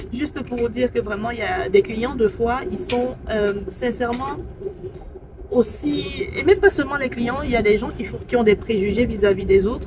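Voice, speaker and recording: A woman speaks at a moderate pace. Noticeable background noise is present throughout. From Cameroon. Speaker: call centre agent. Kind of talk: casual talk to camera, storytelling. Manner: hesitant, many fillers.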